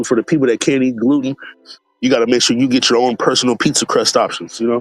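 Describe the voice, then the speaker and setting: A relaxed man at medium pitch, fairly quick in pace, with fairly even intonation, a dry, close sound with no echo, and music in the background. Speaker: food streamer. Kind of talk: casual live stream chat. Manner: relaxed, lots of fillers.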